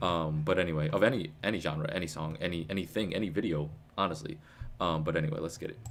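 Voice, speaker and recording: Very deep and low in pitch, a man talks at a very fast pace with ordinary pitch variation. There is audible room echo. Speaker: music reaction streamer. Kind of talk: live album reaction stream. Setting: live stream with chat. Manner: casual, stumbling over words.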